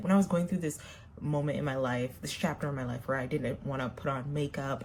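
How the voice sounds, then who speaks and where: With an American accent, a woman talks at a fairly quick pace in a somewhat breathy voice. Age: 30s. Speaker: makeup vlogger. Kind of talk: casual chat while doing makeup.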